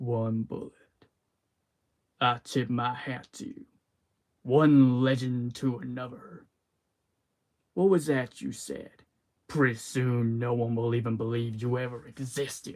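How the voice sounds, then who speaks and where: Putting on a character voice at medium pitch, a man speaks at a fairly slow pace with long, frequent pauses. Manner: menacing, cool.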